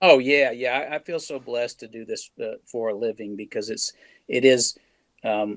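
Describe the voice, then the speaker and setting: In a dry, close recording with no echo, a man with an unremarkable speaking voice and medium pitch talks at a moderate pace, with big swings in loudness. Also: ordinary pitch variation. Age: 60s. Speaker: record producer. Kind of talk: interview.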